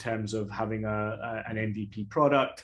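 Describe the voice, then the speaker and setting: A man talks at a medium pitch. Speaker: startup founder. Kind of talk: webinar panel talk. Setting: online webinar. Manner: hesitant, many fillers and repetitions.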